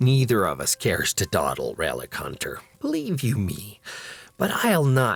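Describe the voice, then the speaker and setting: Using a put-on character voice, a man speaks at a moderate pace. His pitch is medium. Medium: read story. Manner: haughty.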